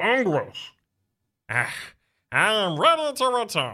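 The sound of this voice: On a very clean recording with a silent background, a man does a robotic, put-on character voice at an extremely high pitch.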